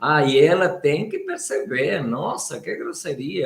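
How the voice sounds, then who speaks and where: A man talks at a very slow pace. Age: 60s. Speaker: Biodanza facilitator and live show co-host. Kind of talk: live stream talk.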